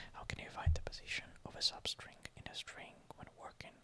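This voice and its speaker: Whispering at a moderate pace, a man speaks. Noticeable background noise is present. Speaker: university student, ASMR creator. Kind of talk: casual talk to camera, study-along narration. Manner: quiet, soft-spoken, whispery.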